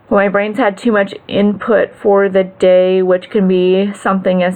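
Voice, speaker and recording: Medium-pitched female voice against noticeable background noise. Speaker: vlogger. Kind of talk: personal video update. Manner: stutters when tired; slow.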